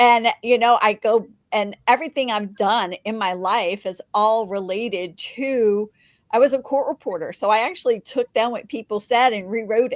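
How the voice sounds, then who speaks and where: An unremarkable speaking voice moves at a moderate pace with ordinary pitch variation. The sound is dry and close with no echo, and the recording is very clean over a silent background. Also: woman, fairly high pitch for a woman. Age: 60s. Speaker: podcast host and magazine publisher. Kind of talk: interview. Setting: podcast.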